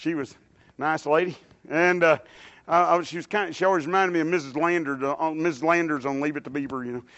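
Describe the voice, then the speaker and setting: Speaking very fast, a man with a Texan accent uses a fairly high pitch and fairly even intonation. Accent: Texan Southern US. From Dallas, Texas. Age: 60s. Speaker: lay preacher. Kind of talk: sermon. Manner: halting.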